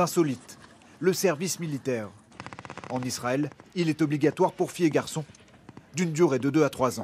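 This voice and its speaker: At a fairly quick pace, a man talks in a fairly high pitch with ordinary pitch variation and long, frequent pauses. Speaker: TV reporter. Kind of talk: scripted narration.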